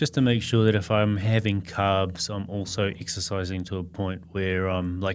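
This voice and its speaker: This man speaks at a moderate pace with hardly any pauses, using fairly even intonation, a very deep, low pitch, and an Australian accent. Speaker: podcast guest. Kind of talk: casual chat.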